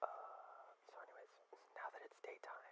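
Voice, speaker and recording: Whispering in a relaxed tone at a fairly slow pace. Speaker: gaming ASMR creator. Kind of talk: ASMR gaming playthrough narration. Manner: soft-spoken, relaxed. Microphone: studio mic.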